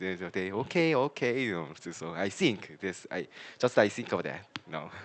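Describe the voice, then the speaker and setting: This man has a Korean accent and a fairly low pitch. He talks at a moderate pace with lively intonation. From South Korea. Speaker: language learner. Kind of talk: casual chat. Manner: halting.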